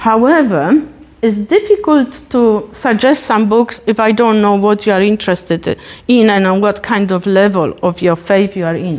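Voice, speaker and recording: A woman speaks at a moderate pace, her pitch medium and varying in an ordinary way. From Poland. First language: Polish. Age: 50s. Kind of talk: talk.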